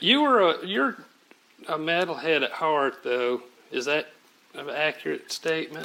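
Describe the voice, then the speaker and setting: Over noticeable background noise, a man with a Southern US accent talks at a fairly slow pace in a fairly high pitch, with ordinary pitch variation and long, frequent pauses. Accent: Southern drawl, sounds redneck. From Oklahoma City. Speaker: music journalist. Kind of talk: interview.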